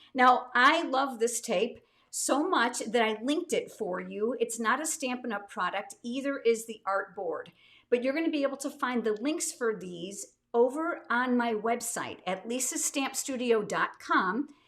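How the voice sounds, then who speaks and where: A woman's high-pitched voice, warm and enthusiastic in tone, with ordinary pitch variation. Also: fairly slow pace, very clean recording, silent background. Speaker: card making instructor. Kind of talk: live stream craft tutorial. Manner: warm, enthusiastic.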